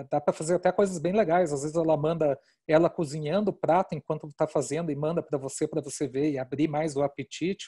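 A man with a dark, mellow tone talks at a very fast pace with hardly any pauses and fairly even intonation. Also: fairly high pitch for a man, quiet background. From Brazil, Curitiba; Brazil. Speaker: marketing executive; presenter. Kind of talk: webinar presentation. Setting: video call. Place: home room. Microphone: headset.

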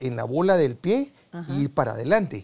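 A man speaks at a moderate pace in a fairly high pitch with a dark, mellow tone. His pitch swings very widely. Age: 70s. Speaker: sports medicine doctor; guest. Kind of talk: interview. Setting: studio. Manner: halting. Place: studio. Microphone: lapel.

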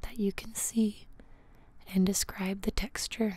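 Very slowly, a soft-spoken woman talks in a somewhat breathy voice, the sound dry with no echo. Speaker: ASMR creator. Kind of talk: ASMR guided grounding exercise. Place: home room. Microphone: studio mic.

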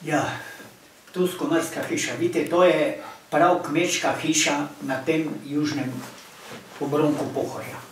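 With audible room echo and noticeable background noise, a man speaks at a fairly high pitch in monotone, flat intonation. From Slovenia, Pohorje village. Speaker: local community president. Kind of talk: casual chat.

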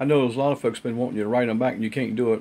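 A man's dark, mellow tone at a very fast pace, with fairly even intonation. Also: medium pitch for a man.

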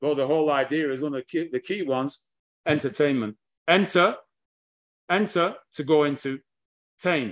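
A man with a British accent at a moderate pace, with long, frequent pauses, against a quiet background. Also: fairly high pitch for a man, ordinary pitch variation. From England. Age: 60s. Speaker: history lecturer. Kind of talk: lecture. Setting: video call. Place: home room. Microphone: video call.

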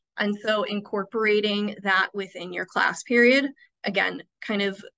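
A woman with an American accent uses an ordinary speaking voice at a medium pitch. She talks at a moderate pace with fairly even intonation over a quiet background. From Iowa. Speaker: school administrator; presenter. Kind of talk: webinar presentation. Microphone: video call.

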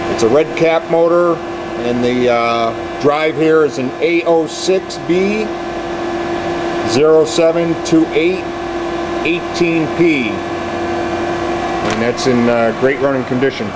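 The pace is very slow. Loud background noise runs throughout. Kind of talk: product walkaround description. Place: factory. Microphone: phone near.

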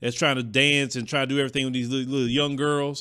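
Against a quiet background, a man's fairly high voice has a bright, sharp tone. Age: 40s. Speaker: entertainment commentary youtuber. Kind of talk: casual monologue. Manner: hesitant, many fillers. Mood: opinionated, casual. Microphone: studio mic.

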